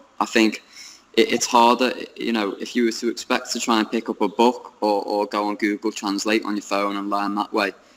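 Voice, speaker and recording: Speaking at a fairly quick pace, a man keeps a medium pitch in a flat, monotone delivery. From United Kingdom. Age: young. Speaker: English teacher in China. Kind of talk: interview answer. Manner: hesitant, many fillers.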